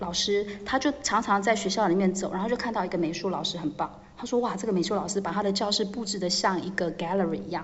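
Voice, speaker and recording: A woman's medium-pitched voice at a very fast pace, with noticeable background noise. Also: ordinary pitch variation, hardly any pauses. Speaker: English teacher managing foreign teachers. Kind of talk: casual interview.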